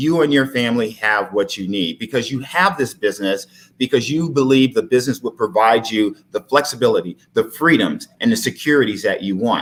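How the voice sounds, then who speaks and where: In an American accent, a man uses an ordinary speaking voice at medium pitch, talking at a fairly quick pace with hardly any pauses and lively intonation. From Texas. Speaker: life insurance advisor. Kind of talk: live-streamed interview, persuasive pitch.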